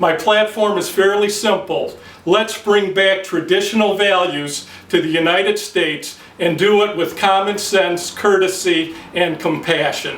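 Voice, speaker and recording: A man with an American accent, high-pitched for a man, fairly slow and fairly even in intonation, with audible room echo and noticeable background noise. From US Midwest, Detroit, Michigan. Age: 50s. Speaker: accountant. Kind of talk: mock campaign announcement speech. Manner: frequent filler hesitations.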